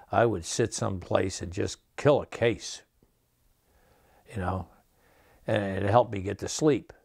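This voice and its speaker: In an upstate New York accent, a man speaks at a fairly slow pace and a fairly low pitch. His pitch variation is ordinary, and the recording is very clean with a silent background. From upstate New York (Menands, near Albany). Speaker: Vietnam combat veteran. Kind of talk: testimony. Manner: halting.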